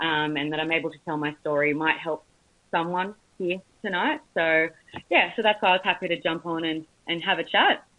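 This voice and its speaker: With an Australian accent, a woman of fairly low pitch talks at a fairly quick pace and with fairly even intonation. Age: 20s. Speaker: cancer survivor. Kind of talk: testimony.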